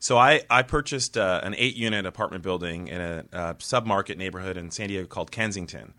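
In a very clean recording with a silent background, a man with a very deep, low pitch and a bright, sharp tone talks at a very fast pace with hardly any pauses, ordinary pitch variation and big swings in loudness. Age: 30s. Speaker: real estate developer. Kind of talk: interview.

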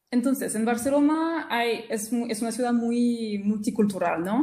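A woman in a French accent speaks at a fairly high pitch with ordinary pitch variation and a dark, mellow, somewhat breathy tone. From rural central France. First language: French (speaking Spanish). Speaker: French teacher. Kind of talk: interview, casual chat. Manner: halting, with repetitions.

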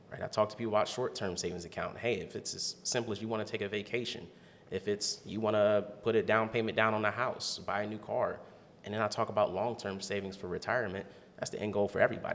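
Talking at a very fast pace, a man with an American accent keeps a fairly low pitch in a monotone, flat delivery. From Ohio, Canton. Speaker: financial advisor. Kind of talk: casual interview.

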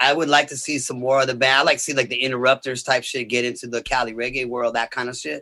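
A man with an American accent, medium-pitched with a bright, sharp tone, at a very fast pace with hardly any pauses. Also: fairly even intonation. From Los Angeles area, US. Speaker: reggae rock musician. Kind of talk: casual interview chat.

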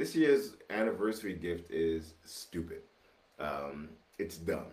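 A man with a very deep, low pitch speaks fairly slowly and somewhat breathily, his very wide pitch swings carried in audible room echo. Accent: American. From New York City, Brooklyn. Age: 50s. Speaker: podcast host. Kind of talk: casual chat. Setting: home studio.

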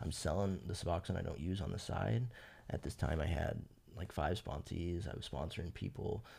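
Very deep and low with a dark, mellow tone and vocal fry, this man's voice moves at a moderate pace with ordinary pitch variation. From Fresno, California. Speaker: person in addiction recovery. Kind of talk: personal testimony. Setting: podcast interview.

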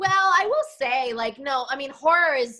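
A woman's raised, projected voice in an American accent, bright and sharp, with very wide pitch swings. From Denver, Colorado. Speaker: actress. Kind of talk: casual chat.

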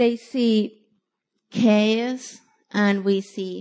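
A woman with a non-native accent speaks very slowly, leaving long, frequent pauses. Her pitch is fairly high and her intonation fairly even. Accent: foreign-accented English. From from overseas. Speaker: church outreach volunteer. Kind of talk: testimony. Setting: church. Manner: halting.

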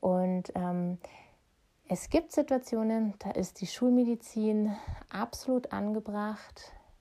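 A woman's dark, mellow tone at a fairly high pitch, with ordinary pitch variation, a very slow pace and long, frequent pauses. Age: 30s. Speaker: podcast host and energy healer. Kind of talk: solo podcast monologue. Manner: casual with frequent fillers.

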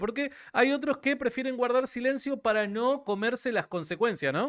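A man's animated voice at a moderate pace, in a very clean recording with a silent background. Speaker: livestream interviewer. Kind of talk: live-streamed interview.

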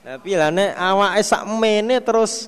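A man speaks against noticeable background noise. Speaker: Islamic religious teacher. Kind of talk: religious study lecture with hadith translation.

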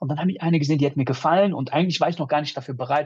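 A man talks with a somewhat breathy voice and ordinary pitch variation. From Düsseldorf, Germany. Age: 30s. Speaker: podcast guest, dating coaching alumnus. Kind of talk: casual chat.

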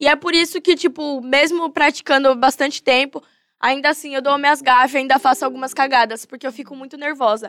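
At a fairly quick pace, a woman talks in a high voice with ordinary pitch variation and big swings in loudness. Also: dry, close sound with no echo. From São Paulo, Zona Norte. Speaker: battle rapper (MC). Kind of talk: podcast interview. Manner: animated.

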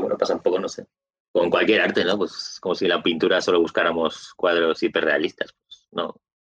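Recorded with a dry, close sound and no echo, a man talks at a fairly quick pace with big swings in loudness. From Galicia, Spain (A Coruña). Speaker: video game reviewer. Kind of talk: casual interview.

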